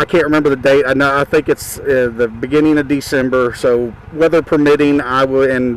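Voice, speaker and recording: Fairly quick, monotone speech from a man at medium pitch, with noticeable background noise. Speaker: motorcycle vlogger. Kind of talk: casual vlog monologue. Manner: fast.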